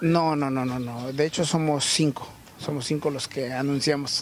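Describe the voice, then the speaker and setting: Light background noise sits behind a man speaking at a fairly slow pace. His intonation is monotone and flat, and the sound is dry with no echo. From Tlaxcala, Mexico. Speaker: fair blanket seller. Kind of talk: interview; interview answer. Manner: halting. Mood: proud, cheerful. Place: market. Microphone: handheld.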